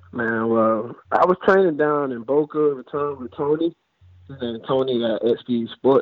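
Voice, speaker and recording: A plain, everyday voice from a man with an American accent, at a fairly slow pace with ordinary pitch variation. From Florida, Fort Lauderdale. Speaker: former college football player. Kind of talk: casual interview. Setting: phone call.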